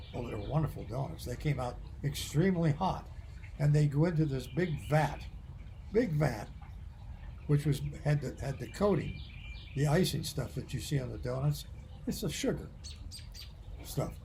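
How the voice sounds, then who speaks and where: A man with an American accent at a moderate pace, with long, frequent pauses and audible room echo. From US Midwest. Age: 80s+. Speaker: retired medical professor. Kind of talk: casual chat.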